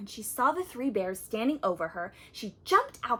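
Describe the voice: Lively intonation over plain reading aloud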